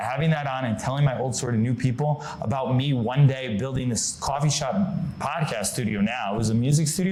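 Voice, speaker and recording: Amid noticeable background noise and audible room echo, a man with an American accent speaks very fast at a medium pitch with ordinary pitch variation. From Connecticut, US. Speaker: marketing consultant. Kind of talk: podcast interview.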